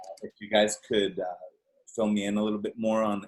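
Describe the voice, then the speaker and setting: At a moderate pace, a man talks with a Spanish accent. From Venezuela. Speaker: audience member asking a question. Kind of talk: Q&A on video call. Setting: video call. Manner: halting.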